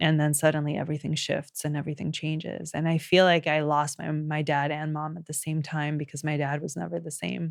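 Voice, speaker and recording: A woman talks at a fairly quick pace with hardly any pauses. Her very deep, low voice keeps a monotone, flat intonation. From Colombia, later raised in the US. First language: Spanish. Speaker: podcast host, intuitive healer. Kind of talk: personal storytelling monologue. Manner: halting, with fillers and self-corrections.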